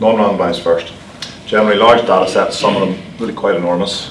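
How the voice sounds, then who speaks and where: In a Northern Irish accent, a man talks at a very fast pace amid audible room echo and noticeable background noise. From Northern Ireland. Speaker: cardiac surgeon. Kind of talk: lecture.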